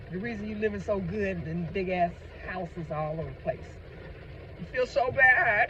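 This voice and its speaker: A man at a moderate pace, with big swings in loudness, long, frequent pauses and noticeable background noise. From United States. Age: 60s. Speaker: vlogger. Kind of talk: casual monologue. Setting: in a car. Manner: animated.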